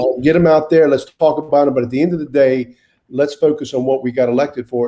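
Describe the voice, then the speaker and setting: With a North Carolina accent, a man talks very fast in a dark, mellow tone with fairly even intonation. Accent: Southern US (North Carolina). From US South (Wilmington, North Carolina). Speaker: mayor. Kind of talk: interview. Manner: halting, with many repeated words.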